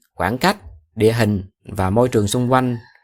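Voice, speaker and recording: Heard against a silent background in a very clean recording, the speaker talks at a moderate pace with a Southern Vietnamese accent. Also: man. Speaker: podcast host. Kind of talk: podcast monologue for Vietnamese learners. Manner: casual, conversational.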